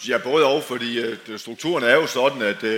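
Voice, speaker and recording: A man speaks in a space with audible echo, with noticeable background noise also present. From Denmark, outside Aarhus region. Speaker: former professional footballer. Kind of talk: panel discussion on stage. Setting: tent with live audience. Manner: halting, repeats words.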